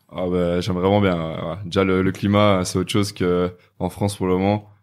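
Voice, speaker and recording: On a very clean recording with a silent background, a man speaks fairly quickly in a very deep, low pitch with monotone, flat intonation. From Belgium, Namur. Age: 20s. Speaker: e-commerce entrepreneur. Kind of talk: podcast interview. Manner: hesitant, many fillers.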